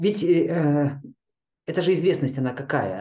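At a moderate pace, a man speaks with a dark, mellow tone and lively intonation. His voice is somewhat breathy. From Kazakhstan and Chukotka, Russian Far North. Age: 50s. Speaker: yoga teacher. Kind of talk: interview. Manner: calm.

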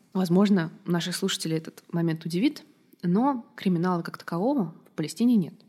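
A woman with a fairly low pitch and a dark, mellow tone speaks at a fairly quick pace, her intonation lively. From Russia. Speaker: diplomat. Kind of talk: interview.

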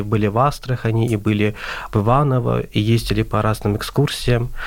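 A man speaks in a normal speaking voice at medium pitch and a moderate pace. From Azerbaijan. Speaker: translation student. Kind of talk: radio interview.

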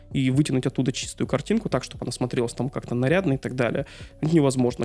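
With music in the background, a man talks at a very fast pace in a medium pitch with ordinary pitch variation. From Dudinka, northern Siberia, Russia. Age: 40s. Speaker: engineer and amateur photographer. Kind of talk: casual interview conversation.

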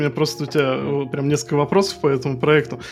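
Against noticeable background noise, a man talks very fast at a fairly high pitch. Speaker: podcast co-host. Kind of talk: casual chat.

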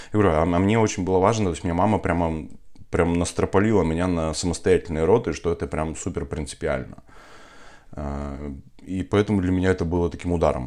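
The man speaks at a fairly quick pace. His pitch is very deep and low, with ordinary variation. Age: 30s. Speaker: entrepreneur and father of four. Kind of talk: podcast interview about personal birth story.

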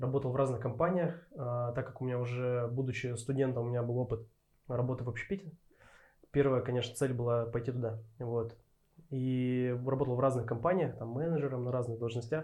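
This man's medium-pitched voice is somewhat breathy, with a dark, mellow tone. He talks at a fairly quick pace with fairly even intonation. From Urals, Russia. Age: 30s. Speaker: head barista. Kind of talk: interview. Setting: studio.

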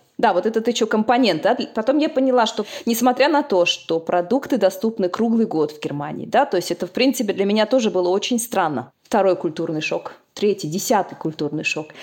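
A woman's unremarkable speaking voice, fairly high in pitch, with lively intonation, a fairly quick pace, and hardly any pauses. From Uzbekistan. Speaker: agricultural scientist. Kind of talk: interview.

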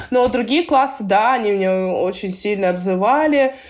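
A woman's normal speaking voice at fairly high pitch, moderate pace and lively intonation. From Russia, Belgorod region. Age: 20s. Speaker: professional basketball player. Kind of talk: interview, casual chat.

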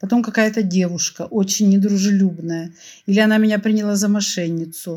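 A woman's somewhat breathy voice with a dark, mellow tone at medium pitch, very fast in pace and fairly even in intonation. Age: 60s. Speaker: opera fan telling a personal story. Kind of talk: personal storytelling.

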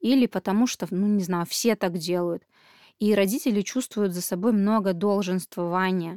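On a very clean recording with a silent background and a dry, close sound with no echo, a woman speaks at medium pitch and a moderate pace, with ordinary pitch variation and a dark, mellow tone. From Belarus. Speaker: parenting podcast host. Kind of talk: podcast monologue.

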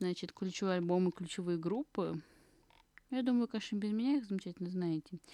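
A woman speaks very fast at medium pitch with ordinary pitch variation and very even loudness, her tone dark and mellow, taking long, frequent pauses in a dry, close recording with no echo and a quiet background. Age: 20s. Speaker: podcast host. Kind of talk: casual solo podcast talk. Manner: rambling with many fillers.

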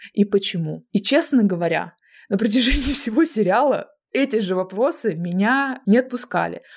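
Using an ordinary speaking voice, a woman talks at a fairly high pitch with lively intonation and very even loudness. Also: moderate pace. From Russia, Kemerovo (Siberia). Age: 20s. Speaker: film director and podcast co-host. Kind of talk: casual chat.

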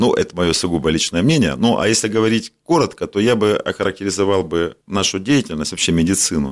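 A man with a fairly low pitch and vocal fry talks at a very fast pace with lively intonation. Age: 50s. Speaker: doctor and medical business owner. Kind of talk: interview.

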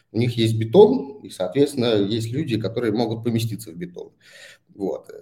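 A man speaks at a moderate pace and medium pitch, somewhat breathy, with a dark, mellow tone. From Saint Petersburg, Russia. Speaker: startup founder. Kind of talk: interview. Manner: halting.

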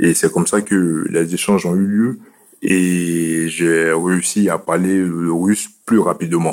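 A man's very deep, low voice at a very slow pace, monotone and flat, with very even loudness. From Côte d'Ivoire. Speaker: cardiologist. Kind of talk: interview.

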